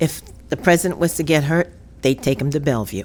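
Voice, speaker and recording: In a New York accent, a woman speaks at a very deep, low pitch with lively intonation. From New York City, the Bronx. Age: 70s. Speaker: podcast co-host. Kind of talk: casual chat. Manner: halting.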